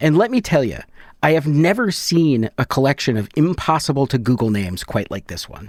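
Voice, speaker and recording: Against a very clean recording with a silent background, a man with an American accent speaks at a fairly quick pace and fairly high pitch, with very wide pitch swings and big swings in loudness. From Michigan, US Midwest. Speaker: podcast host. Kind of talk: scripted narration.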